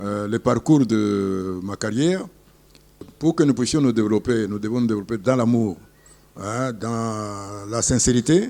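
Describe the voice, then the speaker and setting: A man speaks at a fairly slow pace in a medium pitch, with a dark, mellow tone and ordinary pitch variation. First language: Tshiluba (speaking French). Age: old. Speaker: retired airline pilot. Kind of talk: interview. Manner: halting.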